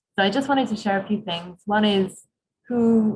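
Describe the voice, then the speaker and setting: A woman speaks in a British accent at a medium pitch. Her voice is somewhat breathy. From UK. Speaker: doctor and recruitment manager. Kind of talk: webinar presentation.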